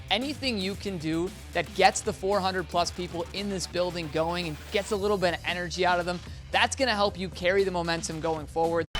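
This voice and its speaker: Fairly quick speech with music in the background. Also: man. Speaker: sports broadcaster. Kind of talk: sideline hockey reporting and interviews.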